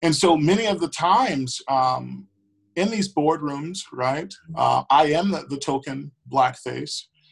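Speaking at a fairly slow pace, a man with an American accent has a fairly high pitch, ordinary pitch variation and a somewhat breathy voice. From Milwaukee, Wisconsin, US Midwest. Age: 20s. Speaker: school board member. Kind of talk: interview.

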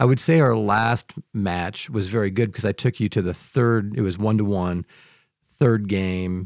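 On a very clean recording with a silent background and a dry, close sound with no echo, a man with a normal speaking voice and an American accent talks fairly slowly with ordinary pitch variation. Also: fairly low pitch for a man. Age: 50s. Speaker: podcast host and seminary teacher. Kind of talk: casual chat. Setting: studio.

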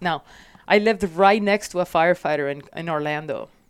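A woman is speaking. She has a Puerto Rican accent. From Puerto Rico. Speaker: firefighter, captain and mentor. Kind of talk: casual interview chat.

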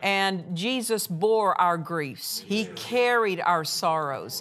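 Lively intonation runs through the speech, with music in the background. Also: woman. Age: 60s. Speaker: minister and Bible teacher. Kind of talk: sermon. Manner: animated.

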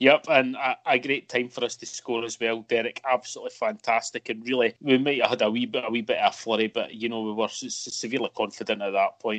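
A man with a Scottish accent at a very fast pace, hardly any pauses, and a dry, close sound with no echo. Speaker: football podcast co-host. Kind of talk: casual chat.

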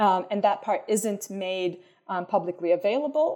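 A woman's dark, mellow voice in an American accent, medium in pitch, with ordinary pitch variation and a moderate pace. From country without jury trials, outside US/UK. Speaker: political theory professor. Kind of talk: interview. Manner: halting, many fillers and repeats.

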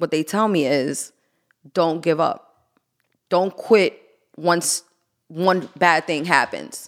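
With a New York accent, a woman speaks at a very slow pace in a fairly low pitch and fairly even intonation, leaving long, frequent pauses. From Queens, New York. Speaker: artist and former nightlife promoter. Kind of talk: casual chat.

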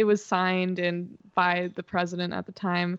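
A woman with an unremarkable speaking voice, medium pitch, and moderate pace, in a dry, close sound with no echo. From Massachusetts, moved among several US states. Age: young. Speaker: singer-songwriter. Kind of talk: casual interview chat.

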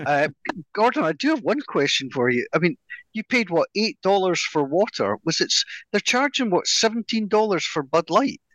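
Very wide pitch swings in a Scottish accent at a moderate pace, with a dry, close sound, no echo, and a quiet background. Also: man, high pitch for a man. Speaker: podcast co-host. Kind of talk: casual chat.

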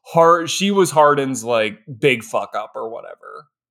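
Fairly slow speech from a man at a fairly high pitch. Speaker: podcast co-host. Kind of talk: casual chat. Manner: animated, excitable.

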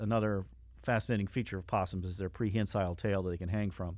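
In a North Carolina accent, a man speaks on a very clean recording with a silent background. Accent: Southern US (North Carolina). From US South. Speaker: archivist. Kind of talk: casual chat.

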